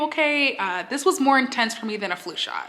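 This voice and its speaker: A woman talks fairly quickly with very wide pitch swings amid noticeable background noise. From Texas. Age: 20s. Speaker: YouTuber. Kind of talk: casual talk to camera.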